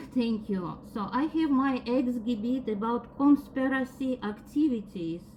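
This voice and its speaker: A woman with a strong non-native accent speaks at a fairly slow pace with hardly any pauses, her high voice showing ordinary pitch variation over noticeable background noise. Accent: strong foreign. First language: not English. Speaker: defendant. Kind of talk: court testimony.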